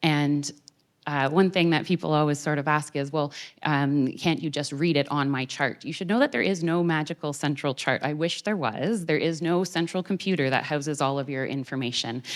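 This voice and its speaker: A woman's very deep, low-pitched voice in a Canadian accent, with ordinary pitch variation, in a very clean recording over a silent background. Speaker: doctor. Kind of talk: public talk. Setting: theater with audience. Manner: fast.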